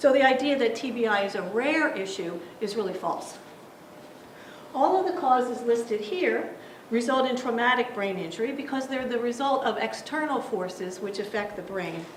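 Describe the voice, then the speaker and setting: Audible room echo and noticeable background noise surround a woman's voice. She talks at a moderate pace with a fairly high pitch and lively intonation. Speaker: brain injury specialist presenter. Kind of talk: lecture. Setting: seminar presentation.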